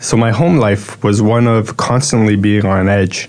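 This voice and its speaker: Noticeable background noise beneath fairly even intonation. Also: man. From Toronto, Canada. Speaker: church member giving testimony. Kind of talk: testimony.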